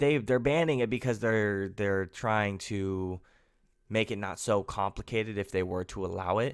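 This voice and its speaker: Speaking at a moderate pace, a man keeps a fairly low pitch with ordinary pitch variation. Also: very clean recording, silent background. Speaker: NFL podcast host. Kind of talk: solo sports podcast commentary. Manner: casual, halting with fillers.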